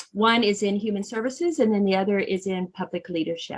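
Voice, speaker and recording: Speaking at a medium pitch with fairly even intonation, a woman has an unremarkable speaking voice. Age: 60s. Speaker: non-profit executive director. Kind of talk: interview.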